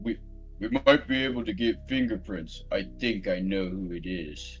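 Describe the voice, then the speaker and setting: A man uses a put-on character voice at a medium pitch and a moderate pace. Clear music plays in the background. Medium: read story.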